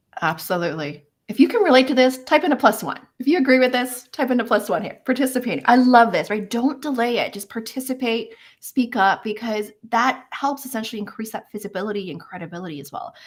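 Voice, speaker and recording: With hardly any pauses, a woman races along at a very fast pace, animated in tone, her intonation lively and her loudness swinging widely. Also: fairly high pitch for a woman. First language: not English. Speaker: career coach, live event host. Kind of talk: live webinar discussion.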